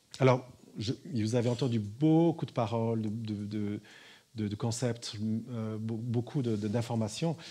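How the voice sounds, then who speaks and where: With long, frequent pauses, a man talks fairly slowly in a dark, mellow, medium-pitched voice with fairly even intonation, on a very clean recording with a silent background. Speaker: spiritual teacher. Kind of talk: talk to an audience.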